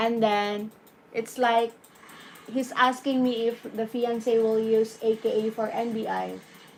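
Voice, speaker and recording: A woman with a Filipino accent talks at a fairly slow pace. Her fairly high voice stays monotone and flat. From Philippines. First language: Tagalog or Bisaya. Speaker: YouTube live streamer. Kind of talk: live stream Q&A. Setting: YouTube live stream. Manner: hesitant, many fillers.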